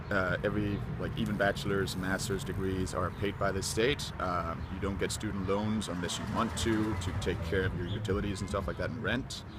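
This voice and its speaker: A very deep, low male voice with a Danish accent, at a fairly quick pace with hardly any pauses, with audible room echo and noticeable background noise. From Denmark. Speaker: university student. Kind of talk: casual interview. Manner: hesitant, many fillers.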